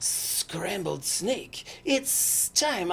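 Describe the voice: The clip is someone reading aloud plainly.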